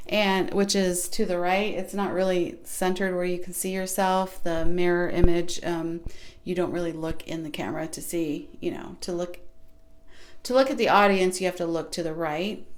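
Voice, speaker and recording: In a room with audible echo, a soft-spoken woman talks at a moderate pace in a fairly low pitch with fairly even intonation. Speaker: small YouTube creator. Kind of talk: casual vlog advice talk.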